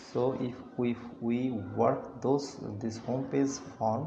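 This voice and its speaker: A man with a non-native accent at a very slow pace, in a monotone, flat intonation, with audible room echo and noticeable background noise. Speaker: web developer. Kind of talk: screen-recorded client feedback. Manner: halting, many fillers.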